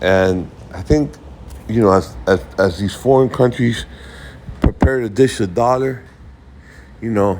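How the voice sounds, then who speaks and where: Amid noticeable background noise, a man with a fairly low pitch speaks with long, frequent pauses. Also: lively intonation. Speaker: investing video creator. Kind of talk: casual market commentary. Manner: halting, many repetitions and fillers.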